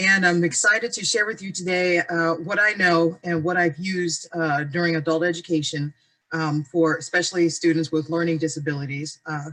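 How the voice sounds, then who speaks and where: A woman with an American accent speaks in a bright, sharp tone with fairly even intonation and hardly any pauses. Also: fairly low pitch for a woman. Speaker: adult education teacher. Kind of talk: webinar presentation. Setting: video call. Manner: fast.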